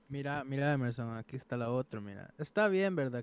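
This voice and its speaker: A man speaks at a moderate pace in an unremarkable speaking voice, pitched fairly high for a man, with a dry, close sound and no echo. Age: 20s. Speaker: discussion panelist. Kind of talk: casual chat.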